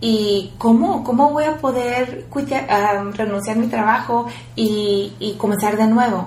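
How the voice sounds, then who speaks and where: Amid noticeable background noise and audible room echo, a woman speaks fairly slowly at a fairly high pitch with ordinary pitch variation. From rural Mexico. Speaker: entrepreneur and activist. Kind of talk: interview. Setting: office.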